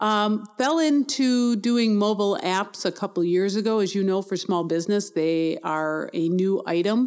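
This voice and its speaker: In a very clean recording with a silent background, a woman with an American accent uses a normal speaking voice at a medium pitch, with lively intonation, very even loudness, a moderate pace and hardly any pauses. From Milwaukee, Wisconsin. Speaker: small business owner, mobile app developer. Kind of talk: interview.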